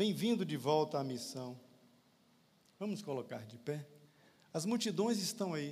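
The pitch swings very widely, with long, frequent pauses. Audible room echo surrounds the voice. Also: man, fairly high pitch for a man, fairly slow pace, big swings in loudness. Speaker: lay preacher and physician. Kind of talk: sermon.

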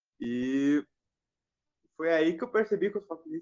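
This man keeps a fairly quick tempo, and his pitch varies in an ordinary way. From southern Brazil. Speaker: live stream participant. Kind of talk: casual chat. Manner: halting.

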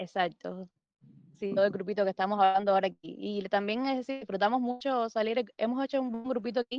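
Talking at a very fast pace, a woman uses a fairly high pitch and fairly even intonation. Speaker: amateur runner. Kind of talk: casual chat.

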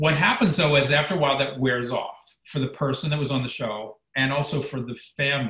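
With hardly any pauses, a man talks at a fairly quick pace in an ordinary speaking voice, fairly high in pitch, with ordinary pitch variation. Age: 60s. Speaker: former reality show contestant, weight loss mentor. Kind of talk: casual chat.

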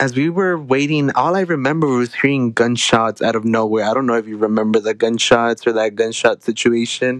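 A man with an unremarkable speaking voice at medium pitch talks at a fairly quick pace with ordinary pitch variation and hardly any pauses. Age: 20s. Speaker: college student podcast host. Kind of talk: casual chat.

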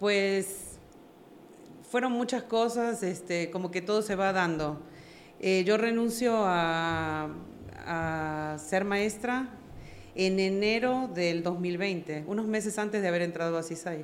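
With audible room echo, a woman talks at a very slow pace and a medium pitch, using ordinary pitch variation. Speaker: network marketing leader. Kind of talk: interview.

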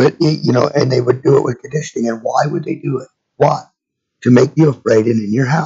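Talking at a fairly quick pace, a man with a medium pitch and fairly even intonation has a dark, mellow tone, a husky, rough edge and vocal fry.

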